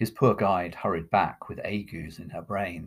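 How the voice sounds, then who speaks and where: With an unremarkable speaking voice, a man talks fairly slowly at a fairly low pitch in a very clean recording with a silent background. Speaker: poetry reader and podcast host. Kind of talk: poem performed: dramatic reading aloud of a narrative poem, voicing characters.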